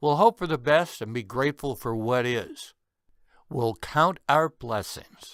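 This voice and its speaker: A man with a fairly high pitch and a bright, sharp tone speaks at a fairly slow pace with lively intonation. The sound is dry and close with no echo, in a very clean recording against a silent background. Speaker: author reading his own book. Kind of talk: bedtime story reading.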